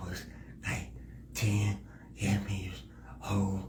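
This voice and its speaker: A man speaks at a fairly low pitch. Audible room echo and noticeable background noise come through. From Indianapolis, Indiana, US Midwest. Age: 40s. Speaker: nonprofit founder. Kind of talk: interview.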